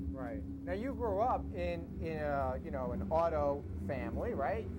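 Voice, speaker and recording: A man with a New York accent at a fairly slow pace, with audible room echo. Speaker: TV show host. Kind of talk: TV interview. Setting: outdoors at a racetrack. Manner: animated.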